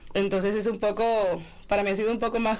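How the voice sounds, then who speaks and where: A woman talks at a medium pitch. She speaks with a Colombian Caribbean accent. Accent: Colombian Caribbean coastal Spanish. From Barranquilla, Colombian Caribbean coast. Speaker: master's student, journalist. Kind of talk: radio panel discussion.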